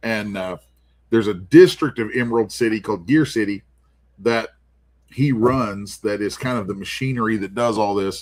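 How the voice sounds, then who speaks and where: In a very clean recording with a silent background, a man with a plain, everyday voice talks at a medium pitch and moderate pace, with ordinary pitch variation. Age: 50s. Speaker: comic artist. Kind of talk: casual chat.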